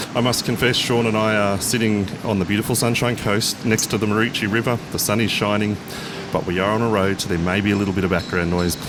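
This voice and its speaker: A man's fairly low voice in an Australian accent, very fast and monotone with flat intonation and very even loudness, amid noticeable background noise and audible room echo. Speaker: podcast host and pilot. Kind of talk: interview. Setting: outdoors by a road.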